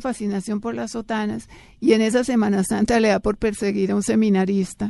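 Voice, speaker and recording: Against a quiet background, a woman with a dark, mellow tone and fairly high pitch speaks at a fairly quick pace. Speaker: former TV actress and beauty author. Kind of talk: casual interview chat.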